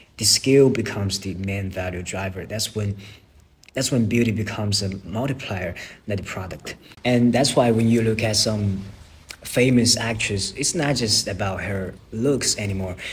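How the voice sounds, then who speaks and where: The speaker has a non-native accent. Pitch moves with ordinary variation. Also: man, fairly low pitch for a man, moderate pace. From China. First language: not English. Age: young. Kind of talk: casual talk to camera.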